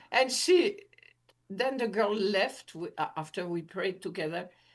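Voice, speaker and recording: A woman with a French accent speaks at a fairly slow pace. Her fairly high pitch makes very wide swings. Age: 80s+. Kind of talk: interview testimony. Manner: halting.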